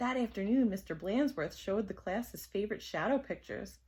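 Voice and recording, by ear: Pitch varies in an ordinary way while a text is read aloud in a natural voice.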